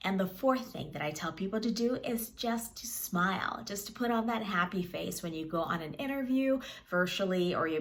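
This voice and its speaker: Audible room echo surrounds a woman who speaks with hardly any pauses. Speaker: media coach. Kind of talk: tutorial. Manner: fast.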